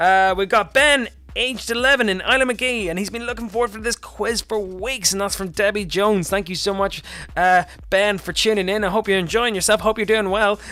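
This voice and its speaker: In a Northern Irish accent, a man with a high pitch speaks in a raised, projected voice at a fairly quick pace. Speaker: quiz host. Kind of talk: live quiz hosting. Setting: live stream. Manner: fast; animated.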